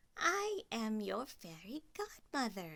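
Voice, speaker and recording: Here a woman puts on a character voice, fairly high in pitch. She speaks at a very slow pace. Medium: read story. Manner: warm, bustling.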